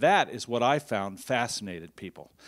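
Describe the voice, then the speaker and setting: A man speaking against a quiet background. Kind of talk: lecture. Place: hall. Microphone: handheld.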